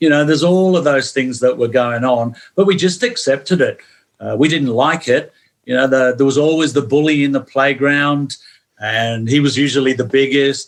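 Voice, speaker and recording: At a moderate pace, a man with an English accent speaks in a fairly high pitch. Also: ordinary pitch variation, very even loudness. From northern England, St Helens near Manchester, moved to Melbourne at 11. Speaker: former football player. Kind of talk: podcast interview. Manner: animated.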